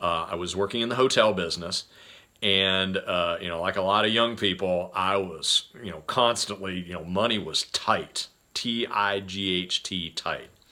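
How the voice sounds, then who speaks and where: A man speaks at a very deep, low pitch in a bright, sharp tone. His pace is moderate and his intonation fairly even. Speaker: podcast host, sales coach. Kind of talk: casual monologue. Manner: halting, filler-heavy.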